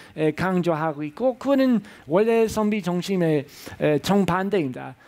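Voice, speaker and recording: A man with a high pitch and a non-native accent speaks with lively intonation. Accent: foreign accent in Korean. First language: English (speaking Korean). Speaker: professor. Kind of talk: lecture. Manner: halting, many filler sounds.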